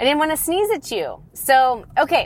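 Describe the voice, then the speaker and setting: A woman's fairly slow speech with lively intonation. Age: 40s. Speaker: podcast host and divorce coach. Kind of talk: casual monologue. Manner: chatty, with fillers.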